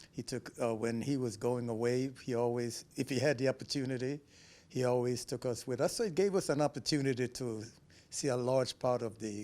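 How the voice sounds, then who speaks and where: Moving at a fairly quick pace, a man uses a medium pitch and a dark, mellow tone with ordinary pitch variation. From Belize. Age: 70s. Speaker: interviewee, emigrant. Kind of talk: interview, life story. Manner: halting, many fillers.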